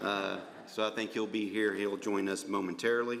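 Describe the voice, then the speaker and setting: A man with a fairly low pitch speaks in an American accent with monotone, flat intonation, and audible room echo surrounds him. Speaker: county commission chairman. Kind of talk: public meeting chairing. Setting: commission chambers. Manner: halting.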